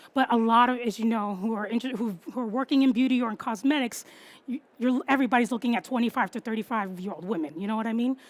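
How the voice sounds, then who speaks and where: A woman with a New York accent talks at a very fast pace with a fairly high pitch. Her tone is animated, with ordinary pitch variation. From New York City. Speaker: copywriter and marketing strategist. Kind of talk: talk to an audience.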